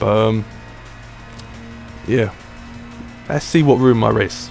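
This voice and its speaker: Music plays behind a man with a British accent. He speaks at a fairly slow pace. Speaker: sim racing gamer. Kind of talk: gameplay race commentary. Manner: casual.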